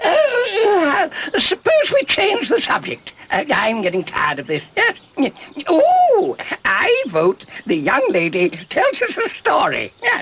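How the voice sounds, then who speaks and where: A put-on character voice at an extremely high pitch speaks at a fairly slow pace. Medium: short film. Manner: stammering, flustered.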